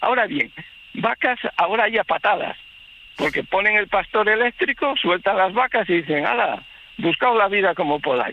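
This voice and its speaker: Against noticeable background noise, a man's high voice carries lively intonation at very even loudness. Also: moderate pace. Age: 60s. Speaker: livestock farmer, local resident. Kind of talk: radio phone interview. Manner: halting, many false starts.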